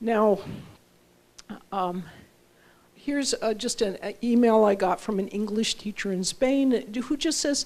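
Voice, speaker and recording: A woman talks at a fairly slow pace, leaving long, frequent pauses, with ordinary pitch variation. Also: fairly high pitch for a woman. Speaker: professor. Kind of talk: lecture. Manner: careful enunciation.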